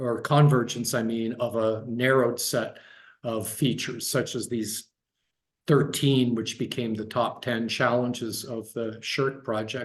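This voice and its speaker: This man has an American accent and a medium pitch. He sounds somewhat breathy, at a moderate pace. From US Midwest, Dayton Ohio. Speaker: guest speaker, design researcher. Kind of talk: online talk, discussion of own work. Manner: halting, many repeated words and fillers.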